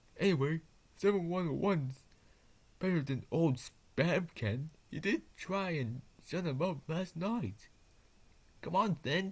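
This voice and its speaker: A put-on character voice sits at a middle pitch. It leaves long, frequent pauses. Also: fairly slow pace. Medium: read story. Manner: cheerful, spirited.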